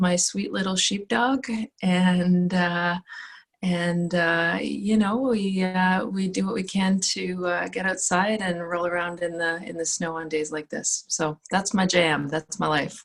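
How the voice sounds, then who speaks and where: A woman speaks with a Canadian accent at a fairly slow pace. She has a plain, everyday voice. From Northern Ontario, Canada (Sault Ste. Marie). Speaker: student affairs administrator. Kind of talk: casual chat.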